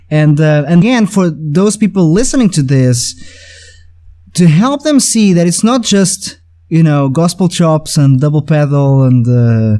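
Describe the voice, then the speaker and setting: A man with a Portuguese accent, fairly high-pitched, with lively intonation, very even loudness and a fairly slow pace. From Portugal. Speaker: podcast host, drummer and music educator. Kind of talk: casual interview conversation. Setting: video call. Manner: halting, many repetitions.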